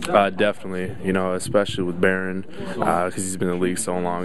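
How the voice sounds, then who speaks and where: A man's very deep, low, monotone voice with flat intonation, in a dry sound with no echo and noticeable background noise. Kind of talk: interview answer. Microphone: handheld.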